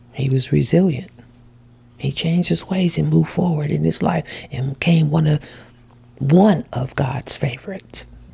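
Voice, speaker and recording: At a moderate pace, a woman speaks at a very deep, low pitch with ordinary pitch variation amid noticeable background noise. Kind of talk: preacher in full flow, sermon-style exhortation with personal testimony. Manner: animated; fervent, exhorting, call-and-response preaching cadence.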